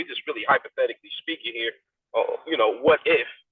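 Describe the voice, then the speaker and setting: Moderate-paced speech from a man. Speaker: podcast host. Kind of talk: casual chat. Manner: loud.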